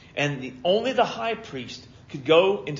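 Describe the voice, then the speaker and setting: A man at a moderate pace with audible room echo. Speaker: pastor. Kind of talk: sermon. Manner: stutters over words at times.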